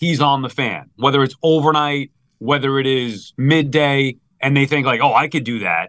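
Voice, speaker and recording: A man speaks in a Long Island accent. His pitch is fairly high and his pace moderate. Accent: New York (Long Island). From Long Island, New York. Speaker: sports radio host. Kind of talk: casual chat.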